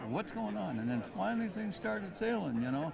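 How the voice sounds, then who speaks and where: A speaker with an American accent talks at a very fast pace. Noticeable background noise is present. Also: man. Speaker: war veteran. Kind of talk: interview answer. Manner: casual, reminiscing.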